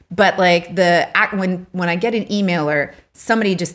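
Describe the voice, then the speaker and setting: The recording is very clean, with a silent background. A woman speaks at a fairly low pitch with ordinary pitch variation. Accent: Canadian. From Canada. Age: 40s. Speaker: podcast co-host, online boutique owner. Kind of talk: casual chat.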